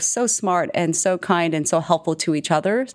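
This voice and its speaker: A woman with an American accent and an unremarkable speaking voice talks at a fairly slow pace, her fairly low pitch showing ordinary pitch variation, on a very clean recording with a silent background. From Texas. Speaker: chief people officer. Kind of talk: interview.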